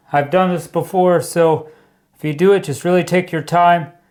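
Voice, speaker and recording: A man with a high pitch speaks loudly at a moderate pace. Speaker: DIY home renovation youtuber. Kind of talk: tutorial. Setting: basement under construction. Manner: casual.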